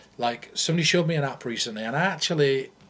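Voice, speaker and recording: A somewhat breathy man with a northern English accent, fairly high pitch, lively intonation and a fairly quick pace. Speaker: mentalist. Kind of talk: casual chat. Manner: animated.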